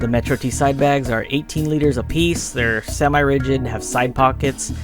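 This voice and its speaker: Music plays behind a man's voice. His pitch is medium, with ordinary variation. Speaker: motorcycle vlogger. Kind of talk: voice-over narration recorded during editing. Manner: hesitant, with fillers.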